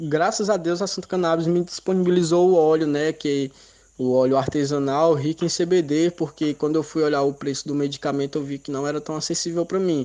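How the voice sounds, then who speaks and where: A man's fairly high, dark and mellow voice carries fairly even intonation. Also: fairly quick pace. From Ceará, Brazil (Baturité). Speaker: medical cannabis patient. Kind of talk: recorded testimony.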